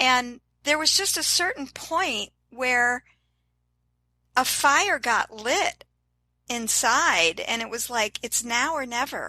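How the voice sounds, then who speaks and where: Speaking at a very slow pace with long, frequent pauses, a woman uses a raised, projected voice with a high pitch, a bright, sharp tone and lively intonation, the sound dry and close with no echo over a quiet background. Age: 60s. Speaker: fitness influencer and transplant survivor. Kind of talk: interview. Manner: enthusiastic.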